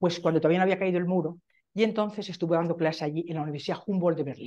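Over a quiet background, the speaker goes at a very fast pace. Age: 70s. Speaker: professor. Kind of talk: conference talk. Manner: animated. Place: meeting room.

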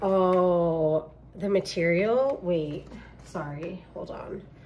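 A woman talks at a very slow pace, with audible room echo. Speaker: personal trainer and fitness vlogger. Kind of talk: casual vlog. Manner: casual, filler-heavy.

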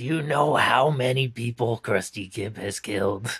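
This put-on character voice is raspy, sitting at a low-to-middle pitch. It moves at a moderate pace. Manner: anxious, exasperated.

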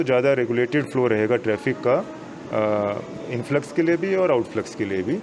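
Light background noise behind a male speaker. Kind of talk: press statement answer. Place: hall. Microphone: handheld.

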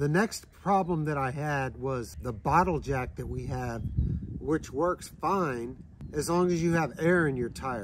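A somewhat breathy man at a fairly slow pace, dry sound with no echo, noticeable background noise behind him. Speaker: travel trailer owner vlogger. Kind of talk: casual vlog chat. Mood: calm explanatory. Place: open country.

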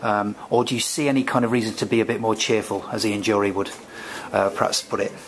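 Over noticeable background noise, a man with a British accent talks at a very fast pace, medium pitch and fairly even intonation. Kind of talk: academic interview. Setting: recorded at a conference.

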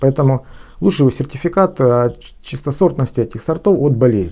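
The tone is dark and mellow. Delivery moves at a moderate pace over a quiet background. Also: man. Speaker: gardener and garden blogger. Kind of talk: lecture-style tutorial on gardening. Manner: formal, explanatory, with some hesitations. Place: home room. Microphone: phone near.

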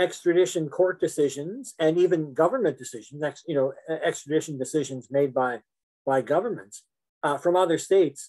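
With a Canadian accent and a normal speaking voice, a man talks at a fairly quick pace and fairly high pitch, with ordinary pitch variation. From Canada. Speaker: law professor. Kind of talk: lecture. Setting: video call.

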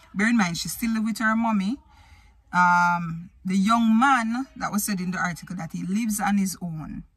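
At a fairly slow pace, a somewhat breathy woman speaks with a dry sound and no echo. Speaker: vlogger. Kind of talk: casual vlog chat. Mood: opinionated, animated. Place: car. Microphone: phone near.

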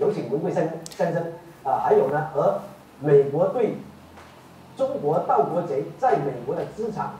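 Amid light background noise and audible room echo, a man speaks at a fairly slow pace. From Guangdong, China. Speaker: online show host and activist; online commentator. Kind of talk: interview. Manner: halting, many fillers. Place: studio.

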